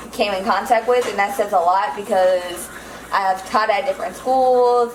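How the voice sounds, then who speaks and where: Against noticeable background noise and audible room echo, a woman with an American accent speaks at a medium pitch with ordinary pitch variation. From Los Angeles, California. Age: 20s. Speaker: vlogger, military veteran and mother. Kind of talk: casual cooking vlog chat.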